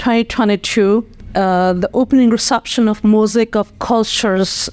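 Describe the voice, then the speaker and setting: Speaking fairly slowly, a woman with a Nepali accent uses a fairly high voice and fairly even intonation. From Nepal, Kathmandu. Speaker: nonprofit community leader. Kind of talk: interview. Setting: podcast studio. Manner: hesitant, many fillers.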